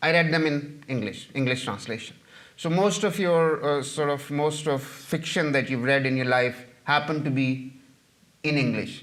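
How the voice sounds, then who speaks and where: A man with a Punjabi accent talks at a moderate pace, with a fairly high pitch. His pitch varies in an ordinary way, and the room echo is audible. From Pakistan, Punjab. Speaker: novelist and journalist. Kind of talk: audience Q&A after a lecture. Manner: halting, many fillers and repetitions.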